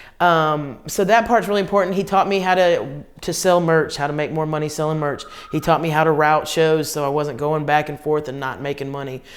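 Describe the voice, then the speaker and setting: Fairly quick speech in a Southern US accent, with hardly any pauses and ordinary pitch variation. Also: woman, very deep, low pitch for a woman. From US South, Columbia, South Carolina. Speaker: comedian. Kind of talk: interview. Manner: animated.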